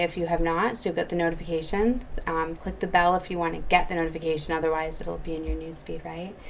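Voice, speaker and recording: A woman at fairly low pitch and very fast pace, amid noticeable background noise and audible room echo. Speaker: psychic tarot reader. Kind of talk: channeled spiritual message video. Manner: casual with many fillers.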